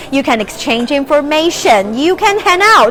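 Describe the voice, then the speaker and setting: With a Chinese accent, a woman speaks at a moderate pace in a high, animated voice that swings very widely in pitch, over noticeable background noise. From China. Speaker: live stream travel host. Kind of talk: live stream presenting. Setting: outdoors at a bazaar.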